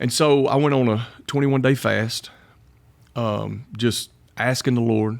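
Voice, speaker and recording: A man talks with a strong Southern accent. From Alabama (Kimberly area). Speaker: pastor. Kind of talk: casual interview. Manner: animated.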